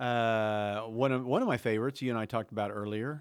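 Someone with an American accent talks at a very fast pace on a very clean recording with a silent background. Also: man. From Oklahoma. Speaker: podcast host. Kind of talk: casual chat. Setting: studio.

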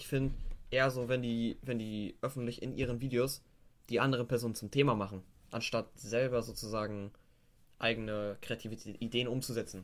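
A man's medium-pitched voice holds a fairly even intonation. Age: young. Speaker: guest. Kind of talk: casual chat.

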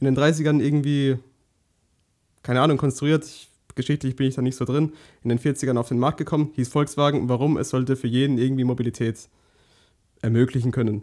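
Speaking at a fairly quick pace with long, frequent pauses, a man has a dark, mellow tone, a medium pitch and a monotone, flat intonation on a very clean recording with a silent background. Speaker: podcast co-host. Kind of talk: casual chat.

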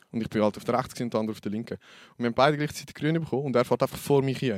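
Speaking very fast, a man holds a medium pitch. The sound is dry and close, with no echo. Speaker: podcast host. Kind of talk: casual chat. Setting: studio.

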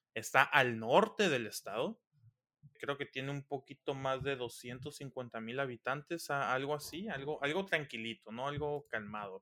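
A man speaks fairly slowly in a bright, sharp tone at a fairly high pitch. The recording is very clean, the background silent. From Mexico, Sinaloa (Los Mochis). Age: 20s. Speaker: engineering student. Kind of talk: casual chat.

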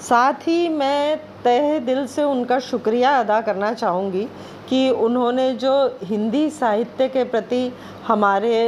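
The woman has a high pitch and ordinary pitch variation. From India, Madhya Pradesh (Bhopal). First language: Bengali (speaking Hindi). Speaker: guest reader. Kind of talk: reading aloud.

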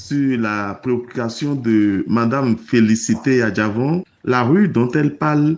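This man's pitch varies in an ordinary way. He talks at a very slow pace. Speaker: local neighborhood chief. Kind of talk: recorded statement.

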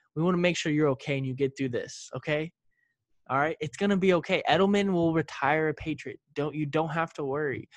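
An unremarkable speaking voice comes from a man with a fairly high pitch, talking at a fairly quick pace with ordinary pitch variation. The sound is dry and close with no echo, and the background is quiet. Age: 20s. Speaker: football podcast co-host. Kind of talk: casual chat.

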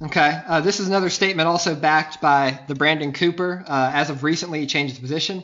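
Speaking with a Southern US accent, a man uses ordinary pitch variation. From US South, Mobile, Alabama. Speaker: podcast guest, sports fan. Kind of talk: casual chat.

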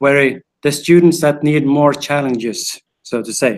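This man has a Swedish accent and a fairly high pitch, speaking at a moderate pace. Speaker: teacher. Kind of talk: casual interview. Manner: halting.

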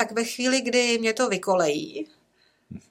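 A woman at a fairly high pitch and moderate pace. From rural Czechia, village. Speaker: nun, educator and carer. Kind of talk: casual interview.

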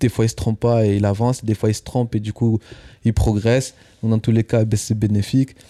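With a dark, mellow tone at medium pitch, a man talks at a fairly quick pace in a monotone, flat intonation, the sound dry and close with no echo. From southwest France, near Toulouse. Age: 20s. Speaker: stand-up comedian. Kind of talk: casual chat.

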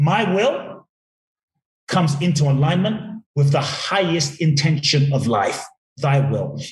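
A man with an ordinary speaking voice talks in a fairly high pitch with ordinary pitch variation. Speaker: inspirational speaker and author. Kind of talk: casual interview chat.

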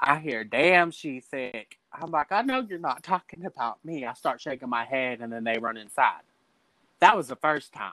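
The voice has a bright, sharp tone, a Texan accent, and lively intonation at a moderate pace. Its loudness swings widely, and the sound is dry and close with no echo. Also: man, fairly high pitch for a man. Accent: Texan US Southern. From Texas, Dallas. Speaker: drag queen. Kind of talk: casual chat. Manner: animated.

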